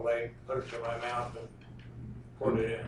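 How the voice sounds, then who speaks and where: A man with an American accent talks at a very fast pace. Noticeable background noise and audible room echo surround him. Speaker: trial witness, crime victim. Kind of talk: courtroom testimony. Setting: courtroom. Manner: fast, quiet.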